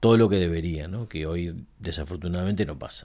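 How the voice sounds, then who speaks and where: A man talks at a moderate pace. His voice sits very deep and low. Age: 50s. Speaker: marketing company founder and CEO. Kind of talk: interview. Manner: halting, many fillers and repetitions.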